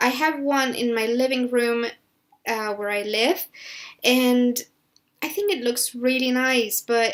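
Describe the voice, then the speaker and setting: Speaking at a fairly slow pace, a woman with a Spanish accent keeps her fairly high voice in a fairly even intonation. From Spain. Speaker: gaming YouTuber. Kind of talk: voiceover commentary on a build video. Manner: halting with many fillers and restarts.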